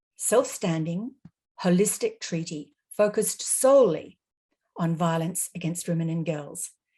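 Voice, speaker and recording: Somewhat breathy and fairly low-pitched, a woman with an Australian accent speaks at a fairly slow pace with lively intonation. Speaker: panelist, legal advocate. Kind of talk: webinar presentation. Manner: formal.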